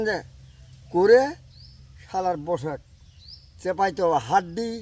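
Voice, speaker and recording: A man with a high-pitched voice uses lively intonation. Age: 80s+. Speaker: farmer. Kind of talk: casual interview.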